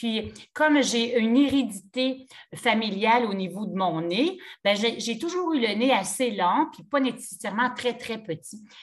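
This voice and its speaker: A woman speaks in a Quebec accent at a fairly high pitch with lively intonation. Her pace is fairly slow, and her loudness swings widely. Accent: Québécois French. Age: 60s. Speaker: yoga teacher. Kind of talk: casual chat.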